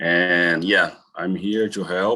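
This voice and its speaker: Over a quiet background, a man with a Brazilian accent speaks in a very deep, low pitch with a bright, sharp tone and monotone, flat intonation. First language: Portuguese. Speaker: college health and safety staff. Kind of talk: meeting presentation. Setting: video call. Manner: halting.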